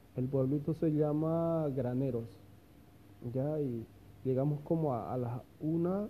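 Fairly even intonation shapes a man's voice with a dark, mellow tone. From Bolivia, Santa Cruz de la Sierra. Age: 20s. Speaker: podcaster and migrant worker. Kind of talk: casual personal storytelling monologue. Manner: hesitant, many fillers and repetitions.

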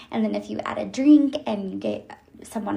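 A woman talks in a fairly high pitch, with noticeable background noise behind her. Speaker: solo podcast host. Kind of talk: casual monologue.

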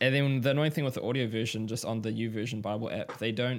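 Very fast speech in a New Zealand accent, with ordinary pitch variation, on a very clean recording with a silent background. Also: man. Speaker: podcast host. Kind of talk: interview conversation; casual chat.

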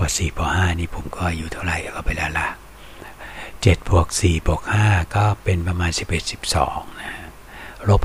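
Over noticeable background noise, a man talks with a very deep, low pitch and fairly even intonation. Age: 50s. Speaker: online radio-style music show host. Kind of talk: casual monologue between songs.

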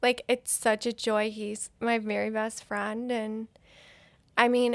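A woman speaks at a fairly high pitch with flat, monotone intonation. The recording is very clean, with a silent background. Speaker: mother sharing her story. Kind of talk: interview testimony. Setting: office. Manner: halting, many fillers.

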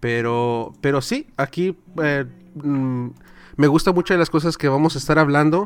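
On a very clean recording with a silent background, a man has an ordinary speaking voice with fairly high pitch. He speaks fairly slowly, with ordinary pitch variation. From Southern California. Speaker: podcaster and church minister. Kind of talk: casual chat.

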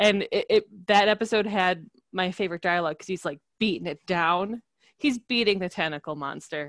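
An ordinary speaking voice with an American accent, recorded dry and close with no echo, speaking at a moderate pace with ordinary pitch variation over a quiet background. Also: woman. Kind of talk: casual chat.

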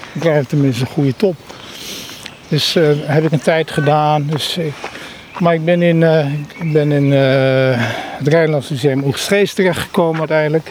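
Noticeable background noise beneath a man's fairly high voice. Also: fairly even intonation, fairly slow pace. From Netherlands, The Hague. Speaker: organisational consultant. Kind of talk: casual chat. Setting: outdoors.

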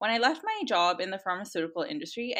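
A woman speaks with a bright, sharp tone in a Canadian accent. Her pace is fairly quick and her pitch swings very widely. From Canada. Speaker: food content creator and nonprofit founder. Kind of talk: interview.

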